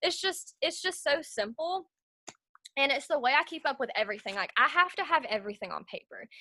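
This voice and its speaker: The pitch swings very widely at a fairly quick pace. The tone is bright and sharp, and the voice is raised and projected. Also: woman, high pitch for a woman. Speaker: network marketing team leader. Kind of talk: tutorial. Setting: video call. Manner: fast; casual, lots of fillers.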